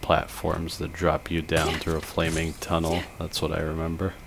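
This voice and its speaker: A man's very deep, low-pitched voice comes through noticeable background noise. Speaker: gaming commentator. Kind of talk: gameplay commentary. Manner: slurs words at times.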